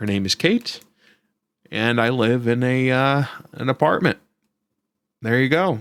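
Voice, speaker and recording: An American accent at a fairly slow pace, with long, frequent pauses, ordinary pitch variation and a dry, close sound with no echo. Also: man, medium pitch for a man. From upstate New York, Syracuse area. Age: 30s. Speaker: podcast host. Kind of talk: casual solo podcast talk. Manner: animated, conversational with many fillers.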